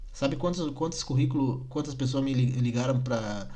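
Somewhat breathy and fairly high in pitch, a man talks at a moderate pace with audible room echo. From Rio Grande do Sul, Brazil (Nova Petrópolis). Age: 20s. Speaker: podcaster. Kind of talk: casual monologue rant. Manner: animated, indignant.

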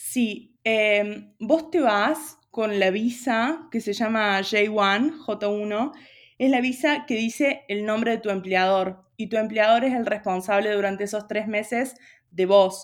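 A woman's fairly high voice with ordinary pitch variation, at a very slow pace, on a very clean recording with a silent background. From Argentina, Río Cuarto (Córdoba). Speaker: university student. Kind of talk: casual interview chat.

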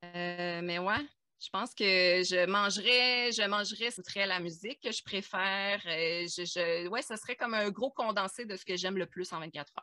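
A woman speaks at a fairly slow pace in a Quebec accent. Her pitch varies in an ordinary way. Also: medium pitch for a woman. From Quebec, Abitibi. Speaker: podcast guest. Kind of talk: casual chat.

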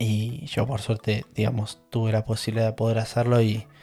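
A man's somewhat breathy voice in a Rioplatense accent, dark and mellow in tone, medium in pitch, with monotone, flat intonation and a fairly quick pace. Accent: Argentine Rioplatense Spanish. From Argentina, La Plata area (Manuel Gonnet). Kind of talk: personal storytelling monologue. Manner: casual with many fillers and repetitions.

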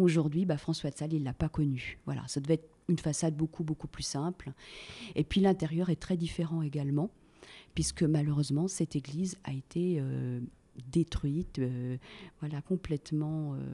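Her pitch very deep and low, a woman speaks in a dark, mellow tone at a moderate pace with fairly even intonation. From Annecy, Haute-Savoie, France. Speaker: tour guide. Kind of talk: interview. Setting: tourist office. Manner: hesitant fillers (euh, bah, hein).

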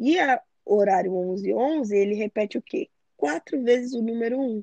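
A woman's plain, everyday voice, fairly high-pitched with ordinary pitch variation, in a dry, close sound with no echo. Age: 20s. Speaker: photographer and digital influencer. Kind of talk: casual chat.

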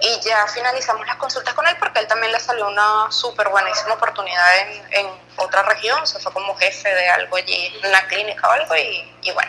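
Over noticeable background noise, a woman speaks at a medium pitch with ordinary pitch variation. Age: 30s. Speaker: podcast guest sharing birth story. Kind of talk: casual chat.

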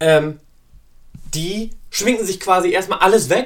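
This man's voice is high-pitched, bright and sharp, with ordinary pitch variation. He speaks in a raised, projected way. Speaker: podcast host. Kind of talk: casual monologue. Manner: many fillers and hesitations.

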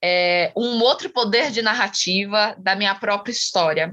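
A woman's fairly high voice, fairly slow, with ordinary pitch variation. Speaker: actress and poet. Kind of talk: interview.

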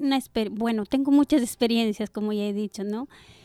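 This woman speaks at a fairly high pitch with ordinary pitch variation. The sound is dry and close, with no echo. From Ecuador. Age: 40s. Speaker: churchgoer sharing faith testimony. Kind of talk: testimony. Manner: halting.

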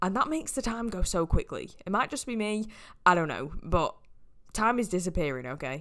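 A woman with a northern English accent talks at medium pitch and a fairly quick pace, with very wide pitch swings and vocal fry, on a very clean recording with a silent background. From northwest England. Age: 20s. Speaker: podcast host, fitness coach. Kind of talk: casual solo podcast monologue.

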